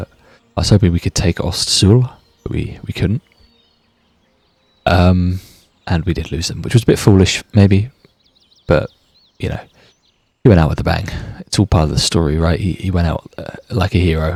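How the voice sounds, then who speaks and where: In a British accent, a man with a very deep, low voice speaks at a moderate pace with ordinary pitch variation and long, frequent pauses, the sound dry and close with no echo. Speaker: gaming YouTuber. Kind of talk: let's play commentary. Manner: casual, chatty.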